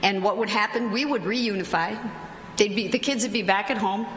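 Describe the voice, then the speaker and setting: A medium-pitched woman talks at a very fast pace with ordinary pitch variation, her voice carrying audible room echo and noticeable background noise. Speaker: judge and conference panelist. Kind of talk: conference talk.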